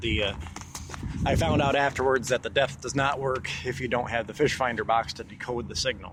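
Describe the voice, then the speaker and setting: A man speaks at a fairly quick pace while noticeable background noise sounds behind him. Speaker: amateur sailor, boat owner. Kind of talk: casual talk to camera. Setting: outdoors. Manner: rambling, many filler words.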